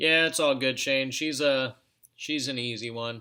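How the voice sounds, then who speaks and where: Speaking at a medium pitch, a man has a bright, sharp tone and fairly even intonation. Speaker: reptile breeder streamer. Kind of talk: live stream chat. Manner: halting, with stutters; casual, filler-heavy.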